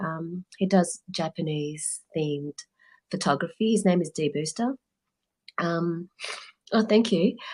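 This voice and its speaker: Somewhat breathy, a woman speaks with ordinary pitch variation on a very clean recording with a silent background. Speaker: artist sharing work. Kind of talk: casual chat. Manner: halting.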